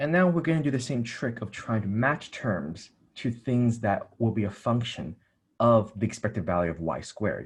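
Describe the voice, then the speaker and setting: Against a quiet background, a man speaks at a moderate pace. His medium-pitched voice is somewhat breathy, with lively intonation. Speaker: math tutor. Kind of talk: tutorial.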